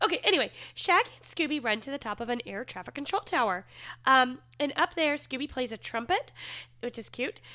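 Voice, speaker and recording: On a very clean recording with a silent background, a woman projects a raised, high voice with a bright, sharp tone, very wide pitch swings, big swings in loudness, and a fairly quick pace. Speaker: podcast co-host. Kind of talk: casual podcast chat, episode recap.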